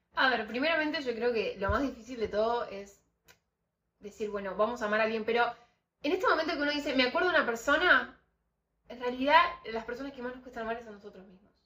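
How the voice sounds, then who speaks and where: A woman talks at a very fast pace but with long, frequent pauses, her high pitch showing ordinary pitch variation. Her tone is bright and sharp, with big swings in loudness. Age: 20s. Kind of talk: casual faith conversation.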